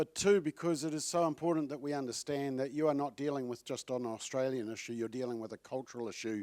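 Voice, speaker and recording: Delivered at a very fast pace with a New Zealand accent, the speech has ordinary pitch variation and a dry, close sound with no echo on a very clean recording with a silent background. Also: man. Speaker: advocacy group CEO. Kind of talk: conference speech. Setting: stage with audience.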